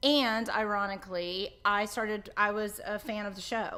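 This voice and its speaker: A woman's bright, sharp, animated voice with a slight Southern US accent. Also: very clean recording, silent background. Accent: Southern US accent, mild drawl. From central Florida. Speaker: hairdresser and show co-host. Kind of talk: casual interview.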